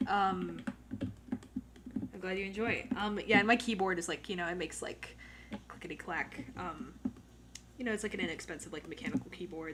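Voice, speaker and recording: A soft-spoken woman talks at a fairly quick pace, her medium pitch showing ordinary variation. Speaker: drawing livestreamer. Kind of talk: casual chat. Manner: halting.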